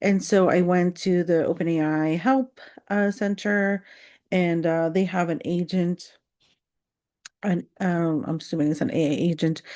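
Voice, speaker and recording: Fairly slow speech with a non-native accent and a dark, mellow tone, ordinary pitch variation and very even loudness, against a quiet background. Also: woman, fairly low pitch for a woman. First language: not English. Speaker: content creator. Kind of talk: casual rant vlog. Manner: rambling with many fillers.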